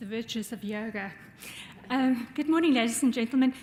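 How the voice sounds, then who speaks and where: Here is a woman with a South African accent. Her voice sits fairly high, with ordinary pitch variation. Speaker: law professor. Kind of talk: audience remarks.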